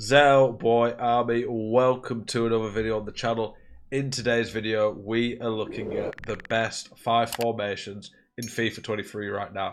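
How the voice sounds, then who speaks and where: A man speaks at a moderate pace and medium pitch, his intonation monotone and flat. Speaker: FIFA gaming YouTuber. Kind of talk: gaming tutorial. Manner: casual, filler words.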